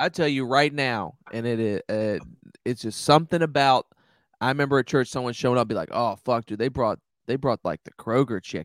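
On a very clean recording with a silent background and a dry, close sound with no echo, a man speaks fairly quickly at a medium pitch with ordinary pitch variation. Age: 30s. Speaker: stand-up comedian. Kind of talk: casual chat. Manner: animated.

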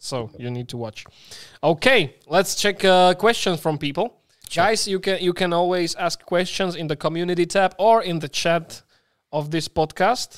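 A man's high voice at a moderate pace with ordinary pitch variation, in a very clean recording with a silent background and a dry, close sound with no echo. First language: Slovak. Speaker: podcast host. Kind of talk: casual interview chat.

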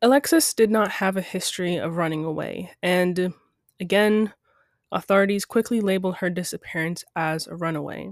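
With a plain, everyday voice, a woman speaks at a medium pitch and a moderate pace, with ordinary pitch variation, in a very clean recording with a silent background. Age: 20s. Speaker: true crime podcast host. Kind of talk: scripted narration.

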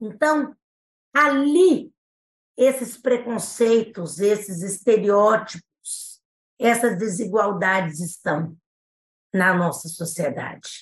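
Somewhat breathy, the voice moves at a very slow pace with lively intonation and long, frequent pauses. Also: woman, fairly high pitch for a woman. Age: 60s. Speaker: prosecutor. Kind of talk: interview conversation. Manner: formal.

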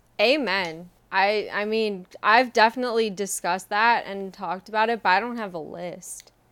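Using a plain, everyday voice, a woman of medium pitch talks at a moderate pace with hardly any pauses. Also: fairly even intonation. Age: 20s. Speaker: podcast co-host. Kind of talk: casual chat. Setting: at her parents' home.

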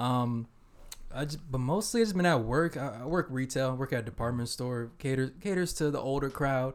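A man with an American accent uses a plain, everyday voice, speaking at a moderate pace with ordinary pitch variation. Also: medium pitch for a man. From Eritrean family, US-raised. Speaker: podcast co-host. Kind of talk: casual chat.

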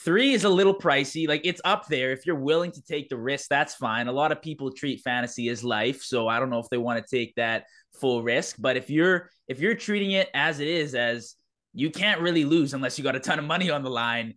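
A man with a plain, everyday voice talks at a fairly quick pace. His pitch sits fairly high, with ordinary pitch variation. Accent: Canadian. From Canada. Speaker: podcast host. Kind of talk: casual interview.

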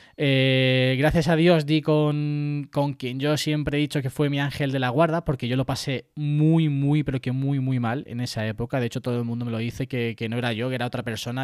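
In a normal speaking voice, a man talks at a fairly quick pace and a medium pitch, his intonation fairly even. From Spain, Puertollano (Castilla-La Mancha). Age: 20s. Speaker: tech podcaster and YouTuber. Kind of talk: casual interview.

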